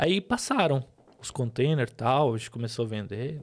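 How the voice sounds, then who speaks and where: Fairly quick male speech, pitched fairly high, its pitch varying in an ordinary way. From Lebanon. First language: Arabic (speaking Portuguese). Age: 30s. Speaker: businessman and podcast host. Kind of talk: testimony. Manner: halting.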